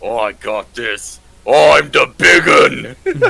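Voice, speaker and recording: A man shouts in a put-on character voice. His pace is very slow. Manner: shouting.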